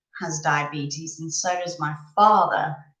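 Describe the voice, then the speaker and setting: A woman talks at a very slow pace with ordinary pitch variation, and audible room echo fills the recording. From northern England, Leeds, Yorkshire. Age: 30s. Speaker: live streamer. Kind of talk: casual chat. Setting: live stream. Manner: chatty, hesitant with many ums.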